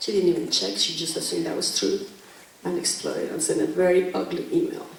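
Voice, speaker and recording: Speaking at a fairly quick pace with a Mexican accent, a woman is heard over noticeable background noise and audible room echo. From Mexico. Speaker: teacher. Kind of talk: panel talk.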